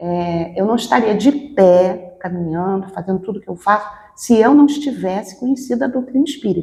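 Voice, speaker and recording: A woman speaks at medium pitch with lively intonation. Her loudness swings widely. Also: moderate pace. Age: 60s. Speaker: spiritist medium. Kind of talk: interview. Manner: halting.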